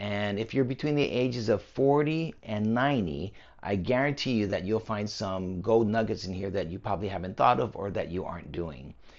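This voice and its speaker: A man with a plain, everyday voice, fairly low in pitch, fairly quick, with lively intonation and hardly any pauses. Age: 60s. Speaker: personal trainer, fitness channel host. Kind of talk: talking-head fitness explainer. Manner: casual, conversational with fillers.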